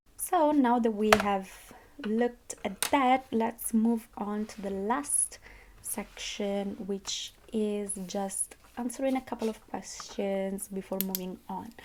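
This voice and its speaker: A woman with a non-native accent talks very slowly in a fairly high pitch with ordinary pitch variation. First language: not English. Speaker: budgeting vlogger, university student. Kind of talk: casual monthly budget reflection vlog. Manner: hesitant, with fillers and self-corrections.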